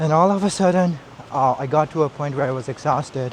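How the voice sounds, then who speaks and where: Against noticeable background noise, a man with a Kashmiri accent speaks in a fairly high pitch with ordinary pitch variation. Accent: South Asian (Kashmiri) English. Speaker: vlogger. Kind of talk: casual vlog monologue. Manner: slow.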